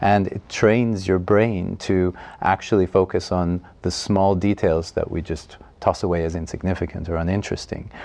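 A man with a Canadian accent speaks at a moderate pace in a very deep, low, dark and mellow voice, his intonation monotone and flat, against a quiet background. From Quebec, Montreal. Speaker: writer and film enthusiast. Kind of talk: interview.

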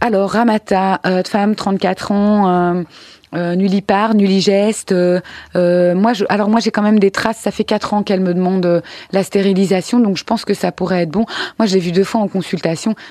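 In a monotone, flat delivery, a woman speaks at a moderate pace and medium pitch, her tone dark and mellow and the sound dry and close with no echo. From Belgium, Brussels. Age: 30s. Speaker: interview guest. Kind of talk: testimony.

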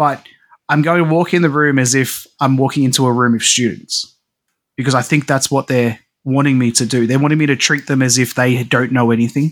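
An Australian accent marks this man's speech, delivered at a fairly quick pace and medium pitch. His loudness stays very even and his intonation fairly even. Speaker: podcast co-host. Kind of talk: casual chat.

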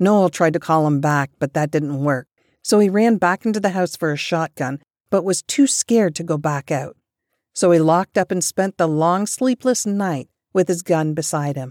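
An unremarkable speaking voice comes through at a moderate pace with lively intonation, the recording very clean with a silent background and dry, close sound with no echo. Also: woman. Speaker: book podcast host. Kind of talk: ghost story telling, scripted-sounding narration of spooky true tales. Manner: hushed, suspenseful, steady storyteller pacing.

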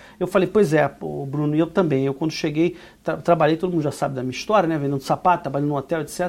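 Speaking very fast at a fairly high pitch, a man talks over music in the background. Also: fairly even intonation. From Brazil. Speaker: immigration consultant and business owner. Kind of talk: casual podcast chat, explanatory. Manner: hesitant, many fillers and repetitions.

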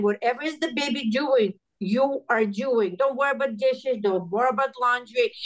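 This woman's voice is high in pitch. Her pitch varies in an ordinary way. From Russia. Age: 50s. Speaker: hairdresser. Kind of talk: casual interview.

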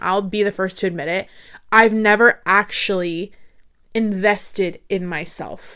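A woman's bright, sharp voice at medium pitch, fairly even in intonation, in a very clean recording with a silent background. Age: 20s. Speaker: podcast host. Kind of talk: solo podcast monologue on self-help, affirmations. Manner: stutters and repeats words at times; conversational, earnest.

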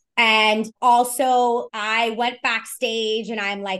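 Speaking with a New York accent, a woman uses a fairly high pitch and fairly even intonation. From New York City, Lower East Side of Manhattan. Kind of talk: storytelling interview.

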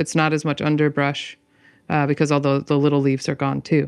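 Over a quiet background comes a woman's voice with a very deep, low pitch. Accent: American. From US Midwest, Michigan. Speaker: folk herbalist and author. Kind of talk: casual interview conversation.

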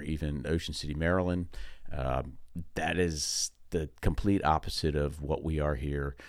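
Very deep, low male speech in an American accent. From New Jersey, Long Valley. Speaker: podcast host, real estate agent. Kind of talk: casual monologue. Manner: halting.

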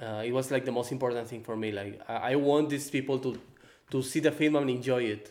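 A man speaks with a Spanish accent. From Mexico, Baja California Sur and Guadalajara. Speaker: film director. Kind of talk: interview. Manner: halting.

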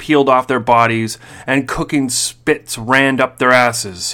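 Unforced voice, reading aloud

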